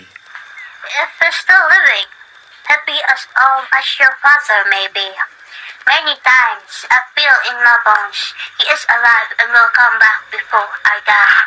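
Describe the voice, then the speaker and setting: A soft-spoken, female-sounding put-on character voice, high in pitch and at a fairly slow pace. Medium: audio drama. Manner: gentle, quiet.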